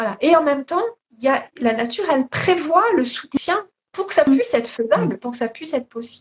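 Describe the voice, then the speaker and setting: A woman's high voice swings very widely in pitch. She talks at a fairly quick pace. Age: 50s. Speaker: body-awareness teacher, author, artist. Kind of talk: interview. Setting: Instagram live. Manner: halting, many repetitions and hesitations.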